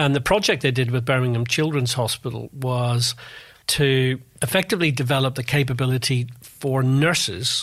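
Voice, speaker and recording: Fairly even intonation in a Northern Irish accent, at a moderate pace, on a very clean recording with a silent background. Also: man. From Northern Ireland, Belfast. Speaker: Formula One industry analyst and author. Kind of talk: interview.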